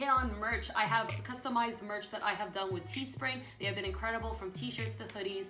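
A woman is speaking. Music can be heard clearly behind her. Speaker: gaming vlogger. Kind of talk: casual vlog chat. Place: home room.

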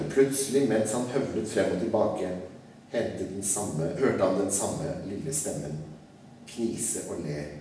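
A man's fairly low voice with lively intonation at a fairly slow pace, with audible room echo and light background noise. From Norway. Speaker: writer. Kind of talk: live reading of a children's classic. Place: hall. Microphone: podium.

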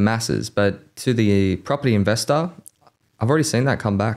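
A man with an Australian accent talks fairly quickly at a fairly low pitch, with ordinary pitch variation and a quiet background. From Australia, Campbelltown (Sydney). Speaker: mortgage broker, podcast co-host; podcast co-host. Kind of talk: casual chat; podcast conversation. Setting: studio. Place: studio. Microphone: studio mic.

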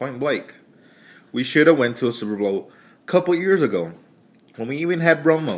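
A man talks at a fairly quick clip in an animated, loud voice, pitched fairly high, with very wide pitch swings and long, frequent pauses. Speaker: sports fan vlogger. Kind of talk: angry sports rant, profane opinion monologue. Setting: video blog to camera. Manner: animated, loud, heated; casual, rambling, stream-of-consciousness. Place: home room. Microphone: phone near.

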